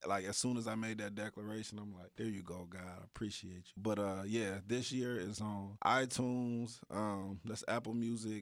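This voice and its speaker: The speech moves at a moderate pace. The recording is very clean, the background silent. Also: man. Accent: American. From Dayton, Ohio, US. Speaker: rapper. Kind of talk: interview. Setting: radio studio. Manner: casual, hesitant with fillers.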